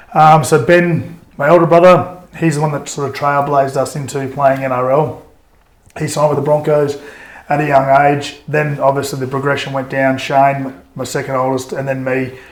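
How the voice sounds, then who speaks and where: Speaking at a moderate pace with an Australian accent, a man uses a fairly high pitch and a monotone, flat intonation, with audible room echo around him. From Queensland, Australia (Toowoomba). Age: 40s. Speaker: former rugby league player. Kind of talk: interview. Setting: podcast. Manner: halting, many fillers and restarts.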